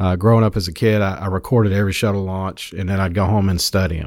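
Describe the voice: A man speaks fast at a low pitch, his intonation fairly even and his tone slightly mellow, on a very clean recording with a silent background.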